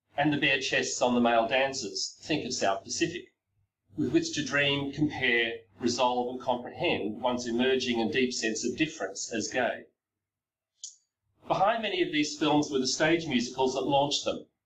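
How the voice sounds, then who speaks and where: With an Australian accent, a man speaks at a medium pitch and moderate pace, his pitch varying in an ordinary way. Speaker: professor. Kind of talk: lecture. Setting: recorded video presentation. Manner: reading from a text.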